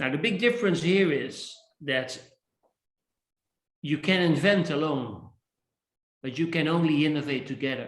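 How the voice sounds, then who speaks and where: A man's fairly high voice at a moderate pace, with ordinary pitch variation, long, frequent pauses and audible room echo. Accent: Dutch. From Netherlands. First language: Dutch. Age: 60s. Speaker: innovation speaker and author. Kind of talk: interview.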